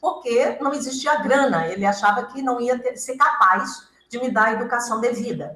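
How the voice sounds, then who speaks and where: Her pitch high and its variation ordinary, a woman speaks at a moderate pace with hardly any pauses. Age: 70s. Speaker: author and hypnotherapist. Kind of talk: interview. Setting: radio studio with cameras.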